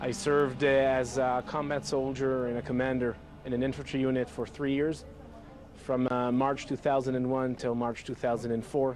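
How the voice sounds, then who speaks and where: A man with a medium pitch speaks at a moderate pace in monotone, flat intonation, with noticeable background noise. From Israel, Jerusalem. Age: 20s. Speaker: former soldier, activist. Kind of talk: documentary interview.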